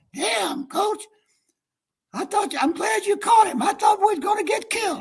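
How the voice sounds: A man puts on a raspy character voice at an extremely high pitch. He keeps a moderate pace.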